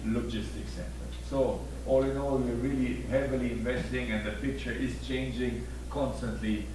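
Over noticeable background noise and an audible room echo, a man talks at a moderate pace in a very deep voice with monotone, flat intonation. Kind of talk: corporate presentation. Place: stage.

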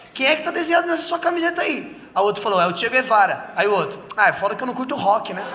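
A man raises and projects his voice at an extremely high pitch, with very wide pitch swings. He talks very fast over light background noise. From Brazil. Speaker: stand-up comedian. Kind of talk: stand-up comedy set. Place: stage. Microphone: handheld.

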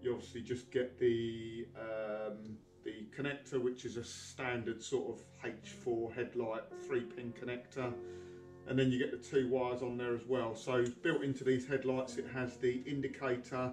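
Over faint background music and audible room echo, a man talks at a moderate pace with fairly even intonation. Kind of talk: tutorial. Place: garage. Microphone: camera far.

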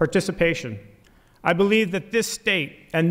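Against quiet surroundings, the man talks at a moderate pace. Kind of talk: formal inaugural speech. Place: hall.

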